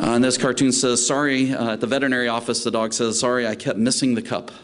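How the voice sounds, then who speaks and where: A man with a Southern US accent talks at a very fast pace and medium pitch in a monotone, flat intonation. Audible room echo and noticeable background noise fill the recording. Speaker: veterinary specialist lecturer. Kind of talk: lecture. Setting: conference talk with live interpreters.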